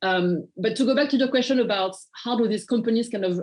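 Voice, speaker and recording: A woman speaks in a French accent with ordinary pitch variation. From France. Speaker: nonprofit partnerships manager. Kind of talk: interview. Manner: halting, many fillers and repeats.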